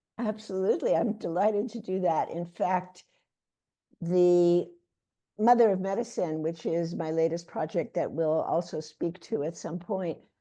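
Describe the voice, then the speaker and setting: With an American accent, the dark, mellow voice moves at a moderate pace with ordinary pitch variation over a quiet background. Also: woman, medium pitch for a woman. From New York City (Bronx). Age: 80s+. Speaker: author and health educator. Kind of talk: interview.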